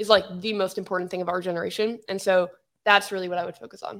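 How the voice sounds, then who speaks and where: A woman with an American accent speaks very fast in a monotone, flat delivery. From United States. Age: 20s. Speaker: tech YouTuber. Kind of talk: casual chat.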